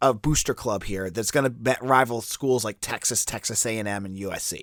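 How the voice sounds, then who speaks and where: A man with an American accent, bright and sharp in tone, at a fairly quick pace, on a very clean recording with a silent background. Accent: Boston accent, comes and goes. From Boston area. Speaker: sports podcast host. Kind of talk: sports podcast commentary. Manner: casual, conversational.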